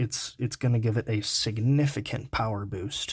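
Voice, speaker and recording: A man's somewhat breathy voice holds fairly even intonation on a very clean recording with a silent background. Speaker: card game YouTuber. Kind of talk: tutorial. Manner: monotone; halting, many filler words.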